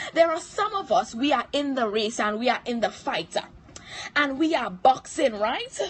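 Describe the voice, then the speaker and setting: At a moderate pace, the voice swings very widely in pitch, with noticeable background noise behind it. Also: woman, high pitch for a woman. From Trinidad. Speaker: motivational speaker / livestream host. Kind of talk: motivational livestream talk. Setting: live stream. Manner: animated.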